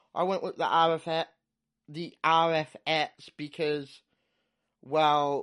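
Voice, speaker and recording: Against a quiet background, the voice moves at a very slow pace. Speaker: podcaster reviewing audio gear. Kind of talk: solo gear review talk.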